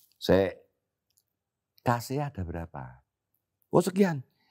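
A man speaks with vocal fry against a quiet background. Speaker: veteran theater actor and comedian; theatre actor, comedian guest. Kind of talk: casual interview chat.

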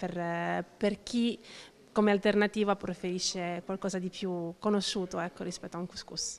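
A woman with a French accent talks with fairly even intonation. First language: French (speaking Italian). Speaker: cook at a soup kitchen, works with migrants. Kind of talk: interview. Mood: cheerful, smiling. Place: hall. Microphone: handheld.

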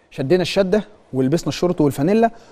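A man with a high pitch, a fairly quick pace, ordinary pitch variation and an animated tone. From Egypt. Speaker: sports TV host. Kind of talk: studio monologue, impassioned commentary. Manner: animated, emphatic. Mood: indignant, complaining of injustice. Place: studio. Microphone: lapel.

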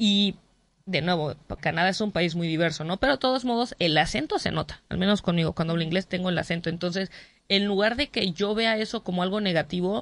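Speaking at a fairly quick pace, a woman uses ordinary pitch variation. The sound is dry with no echo. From Mexico. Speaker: comedian. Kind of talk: interview. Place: studio.

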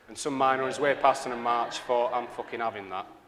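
Speaking at a very fast pace with a Northern English accent, a man talks over light background noise. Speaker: graphic designer. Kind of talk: live conference talk. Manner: sweary, powerful delivery. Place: hall.

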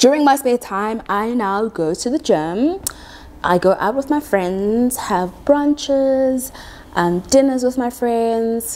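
A woman with a high pitch and lively intonation talks at a very slow pace. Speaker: quantity surveyor, YouTuber. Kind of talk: casual talk to camera. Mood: playful, expressive. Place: home room. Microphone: lapel.

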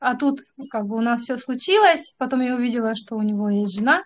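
Her voice sits high for a woman, with ordinary pitch variation. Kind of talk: personal account on a video call. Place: home room. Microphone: video call.

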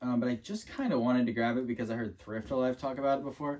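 A man speaking at a fairly quick pace. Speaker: thrift reseller. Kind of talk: casual vlog chat. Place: home room. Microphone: camera far.

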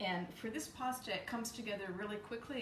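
Light background noise and audible room echo frame a woman's voice. She moves at a fairly quick pace with ordinary pitch variation. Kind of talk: tutorial. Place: kitchen. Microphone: camera far.

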